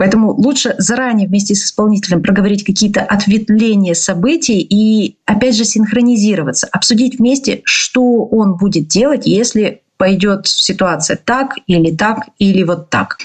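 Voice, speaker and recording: A moderate pace with ordinary pitch variation and hardly any pauses. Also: woman, fairly high pitch for a woman. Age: 30s. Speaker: podcast host, business owner and consultant. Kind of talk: monologue podcast with storytelling and advice. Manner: casual and animated.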